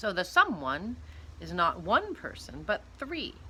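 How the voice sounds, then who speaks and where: Booming in a stern tone, a woman uses a put-on character voice at a fairly slow pace over clear background noise. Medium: read story. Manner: stern, scornful.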